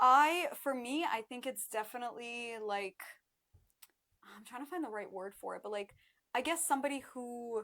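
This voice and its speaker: A woman's high, bright and sharp voice at a moderate pace, with ordinary pitch variation and big swings in loudness. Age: 20s. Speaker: blind date contestant. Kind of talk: casual chat.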